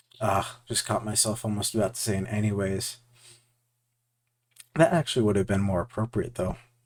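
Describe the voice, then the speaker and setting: Fairly low in pitch, a man talks at a fairly quick pace with long, frequent pauses. His pitch variation is ordinary. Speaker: VFX artist and art video creator. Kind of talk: casual commentary over art process. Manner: halting, with filler words. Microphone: new audio setup using OBS filters.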